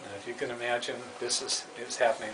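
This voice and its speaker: Against noticeable background noise, a man speaks at a moderate pace and a medium pitch. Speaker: puppeteer, former school developmental counselor. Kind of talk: radio interview answer. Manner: casual, hesitant.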